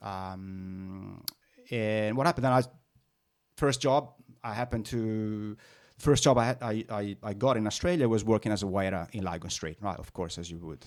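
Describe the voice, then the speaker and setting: A man with a fairly low voice talks at a moderate pace, his pitch varying in an ordinary way and his loudness swinging widely. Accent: slight Italian. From northern Italy. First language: Italian. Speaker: business owner. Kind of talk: interview. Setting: podcast. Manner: halting with many fillers.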